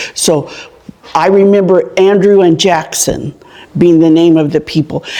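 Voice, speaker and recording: A woman's fairly low voice with an American accent, very slow pace and ordinary pitch variation. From Farmersville, California (Central Valley). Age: 70s. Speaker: local elder sharing town history. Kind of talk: oral history interview.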